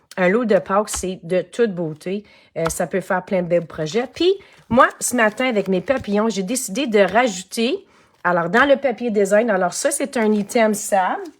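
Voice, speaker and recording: With a Quebec accent, a woman talks at a fairly slow pace in an animated tone, with ordinary pitch variation. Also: medium pitch for a woman. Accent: Québécois French. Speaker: craft demonstrator and online shop owner. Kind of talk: live-stream craft tutorial. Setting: home studio live stream.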